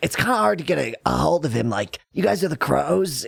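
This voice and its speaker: A man puts on a raspy character voice with very wide pitch swings. His pace is fairly quick. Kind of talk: slacker slang. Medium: actual play. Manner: rambling, slangy, laid-back, full of fillers.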